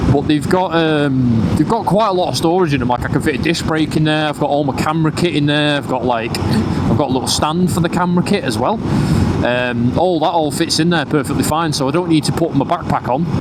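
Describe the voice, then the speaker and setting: Very fast speech in a northern English accent, with very even loudness and ordinary pitch variation, plus audible room echo and noticeable background noise. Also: man, fairly high pitch for a man. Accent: northern English twang. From northern England. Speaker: motorcycle vlogger. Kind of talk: casual vlog commentary while riding. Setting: on a motorcycle, outdoors. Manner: casual, with many fillers.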